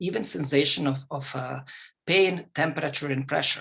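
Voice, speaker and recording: A man speaks with a non-native accent at a fairly high pitch. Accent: foreign. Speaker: psychologist. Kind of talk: lecture. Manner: fast.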